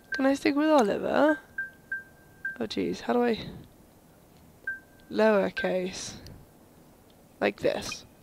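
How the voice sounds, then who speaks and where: A woman at a fairly slow pace, with long, frequent pauses and music in the background. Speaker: gaming video host. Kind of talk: let's play commentary reading subtitles aloud.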